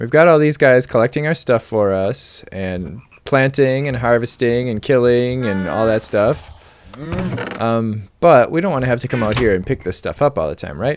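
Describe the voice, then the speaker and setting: A man of medium pitch, with ordinary pitch variation, keeps a moderate pace against noticeable background noise. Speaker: gaming video creator. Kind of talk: game tutorial commentary. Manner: casual, filler-heavy.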